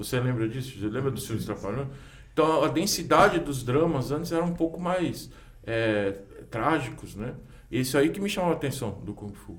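Somewhat breathy, a man speaks at a medium pitch and moderate pace with lively intonation. There is audible room echo. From Brazil, São Paulo city. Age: 40s. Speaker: kung fu teacher. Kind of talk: casual chat.

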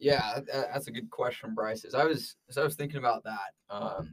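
A man with a Utah accent, at a fairly slow pace, with very wide pitch swings. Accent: American, Utah. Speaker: sports podcast co-host, student. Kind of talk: casual sports chat.

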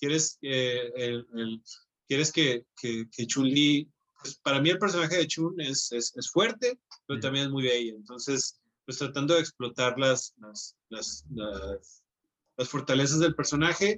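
An ordinary speaking voice from a man, fairly high in pitch with ordinary pitch variation, at a fairly slow pace, in a dry, close sound with no echo. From Mexico, Hermosillo, Sonora. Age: 30s. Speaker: comic book artist. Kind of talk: casual interview.

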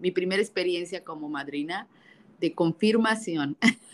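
With lively intonation, a woman speaks at a moderate pace in a normal speaking voice. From Mexico. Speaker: podcast co-host. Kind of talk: casual chat.

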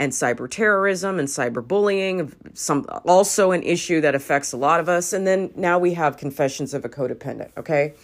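A woman talks at a fairly quick pace with hardly any pauses, her tone animated and her pitch varying in an ordinary way. The recording is very clean, with a silent background. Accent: American. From US West Coast, Los Angeles. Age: 40s. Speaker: podcast host. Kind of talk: casual monologue.

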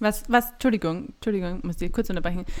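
In a very clean recording with a silent background, a woman with a normal speaking voice talks at a medium pitch with ordinary pitch variation. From Austria, Graz (Styria). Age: 30s. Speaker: midwife and podcast co-host. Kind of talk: casual chat.

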